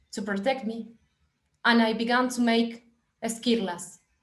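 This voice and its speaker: A fairly high-pitched woman's voice with a Spanish accent, in a room with audible echo. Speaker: film director. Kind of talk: reading aloud. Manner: halting.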